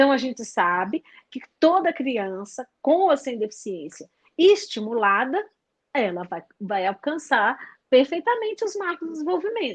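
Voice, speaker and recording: At a fairly slow pace, a woman speaks with a high pitch, very wide pitch swings, and big swings in loudness. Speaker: early intervention teacher. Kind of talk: live webinar talk. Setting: live stream. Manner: halting, many fillers.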